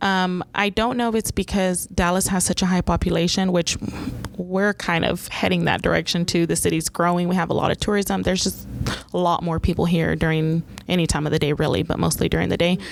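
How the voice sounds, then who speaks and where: A woman talks at a fairly quick pace with a fairly low pitch. Her loudness is very even, her intonation fairly even, and there is noticeable background noise. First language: Spanish. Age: 40s. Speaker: 911 dispatch supervisor. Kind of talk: podcast interview. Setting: dispatch center.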